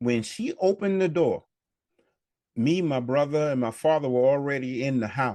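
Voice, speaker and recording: At a moderate pace, a man speaks with a dark, mellow tone and a fairly high pitch. His pitch varies in an ordinary way, and the background is quiet. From New York City, Harlem. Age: 70s. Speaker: community elder. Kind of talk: interview reminiscence. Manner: halting.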